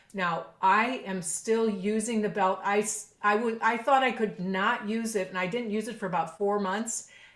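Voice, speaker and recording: A woman's unremarkable speaking voice at medium pitch, moderate pace, fairly even intonation and hardly any pauses. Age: 60s. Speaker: professional clarinetist. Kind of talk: podcast interview.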